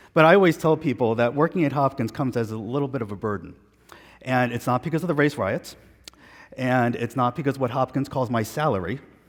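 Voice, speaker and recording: The pace here is very fast. The speaker talks with a New York accent. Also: man, medium pitch for a man, ordinary pitch variation. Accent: New York American. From New York, Long Island. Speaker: physician, professor. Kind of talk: conference lecture.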